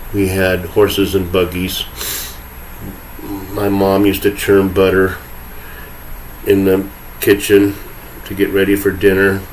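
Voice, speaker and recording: There is noticeable background noise as a man speaks at a very slow pace in a fairly low pitch. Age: 60s. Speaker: podcast host. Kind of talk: solo monologue rant. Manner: sarcastic, rambling conversational.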